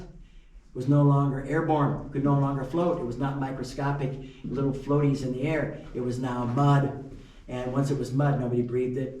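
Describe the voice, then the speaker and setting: There's audible room echo around the voice. A man speaks at a moderate pace. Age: 70s. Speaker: mine tour guide. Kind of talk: guided tour talk. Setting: underground mine with tour group. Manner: casual, conversational. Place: tunnel cave. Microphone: camera far.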